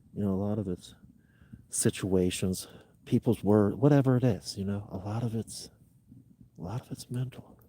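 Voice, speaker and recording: Quiet and fairly low, this man's dark, mellow voice keeps a moderate pace with ordinary pitch variation and long, frequent pauses. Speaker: outdoor adventure streamer. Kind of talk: casual live stream chat. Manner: quiet, speaking lower.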